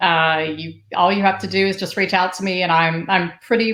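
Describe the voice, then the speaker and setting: Speaking with an American accent, a woman keeps her pitch in the medium range. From US South, Atlanta. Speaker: wine blogger and marketing consultant. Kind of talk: live interview.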